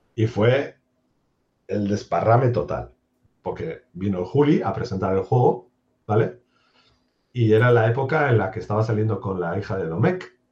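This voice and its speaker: Pausing long and often, a man speaks in a fairly low, somewhat breathy voice. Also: moderate pace. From Basque Country, Spain (Durango, Biscay). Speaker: software developer. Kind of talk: interview.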